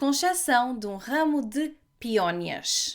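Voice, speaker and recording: A woman with a European Portuguese accent speaks at a very slow pace in a high pitch, with lively intonation. The recording is very clean, with a silent background. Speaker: language teacher podcaster. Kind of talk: language-learning podcast narration. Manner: slow, clear.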